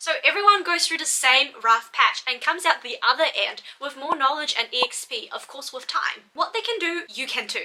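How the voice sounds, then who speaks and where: Over noticeable background noise, a woman speaks energetically at a moderate pace in a high pitch, with very wide pitch swings and hardly any pauses. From Malaysia, moved to New Zealand at twelve. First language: not English. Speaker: doctor and study-tips YouTuber. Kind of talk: scripted vlog talk to camera.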